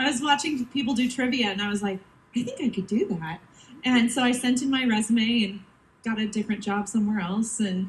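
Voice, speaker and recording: A woman with an American accent talks at a moderate pace in a fairly high pitch, with ordinary pitch variation and noticeable background noise. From United States. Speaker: cruise entertainment staff. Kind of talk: onstage panel talk.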